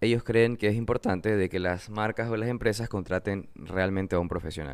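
The delivery runs at a fairly quick pace in an unremarkable speaking voice. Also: man. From Ecuador, Manabí (coast). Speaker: podcast host, graphic designer. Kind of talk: solo podcast monologue. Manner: casual, repetitive fillers.

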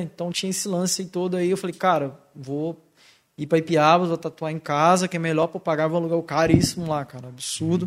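Speaking at a fairly quick pace, a man uses a high pitch. His intonation stays fairly even. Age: 20s. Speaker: tattoo artist. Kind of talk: casual chat.

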